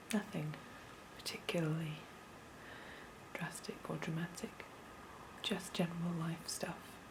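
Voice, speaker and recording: Soft-spoken and fairly low-pitched, a woman with a British accent talks at a fairly slow pace with long, frequent pauses and fairly even intonation. There is noticeable background noise. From United Kingdom. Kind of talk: ASMR show-and-tell.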